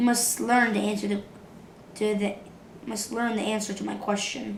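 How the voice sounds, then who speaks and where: In a put-on character voice, a woman speaks raspy and monotone with flat intonation, at a medium pitch and moderate pace, with clear background noise. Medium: read story. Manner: measured, formal.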